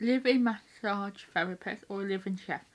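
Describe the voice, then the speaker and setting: A woman's medium-pitched voice with a British accent. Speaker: YouTuber. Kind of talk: casual chat.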